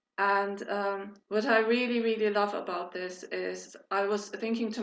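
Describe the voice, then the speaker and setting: A woman's monotone, flat intonation amid audible room echo. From Turkey, Istanbul. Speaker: fan club member. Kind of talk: casual group video chat.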